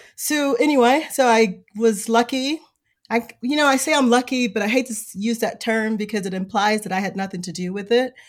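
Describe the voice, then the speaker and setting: Speaking at a fairly quick pace, a woman with an American accent has an unremarkable speaking voice, fairly high in pitch with ordinary pitch variation. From Chicago South Side. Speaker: bookstore owner. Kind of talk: casual interview. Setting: virtual remote recording.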